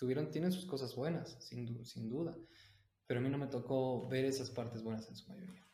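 A man with a medium pitch and a dark, mellow tone speaks somewhat breathily amid audible room echo. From Mexico City. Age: 20s. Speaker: university student and martial arts teacher. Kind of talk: podcast interview. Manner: halting.

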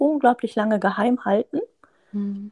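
A woman talks at a moderate pace in a fairly high voice with ordinary pitch variation. It is a plain, everyday voice, recorded with a dry, close sound and no echo. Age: 30s. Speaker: surgeon. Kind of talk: interview.

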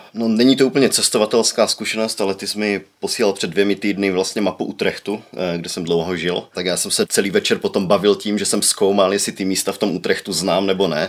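A man with an unremarkable speaking voice talks at a fairly low pitch and a fairly quick pace. His intonation is fairly even, with hardly any pauses. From Czech Republic, Ostrava. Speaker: social media city promoter. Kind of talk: casual chat.

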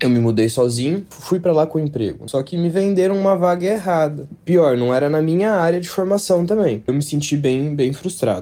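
Here a man speaks in a normal speaking voice at a fairly high pitch. His pace is moderate and his intonation lively. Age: 20s. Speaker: listener sending a voice message. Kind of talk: recorded testimony.

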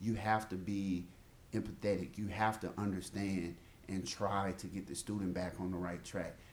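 In an American accent, a man with a very deep, low pitch speaks in a flat monotone, with audible room echo around him. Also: moderate pace. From Mississippi, US South. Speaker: medical school faculty, podcast co-host. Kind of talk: casual chat.

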